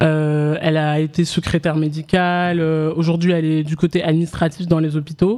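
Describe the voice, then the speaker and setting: Her voice very deep and low with a dark, mellow tone, a woman speaks in a flat monotone at a moderate pace with hardly any pauses. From France, Paris suburbs and Oise. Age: 20s. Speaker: author. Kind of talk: casual interview. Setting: live event with audience.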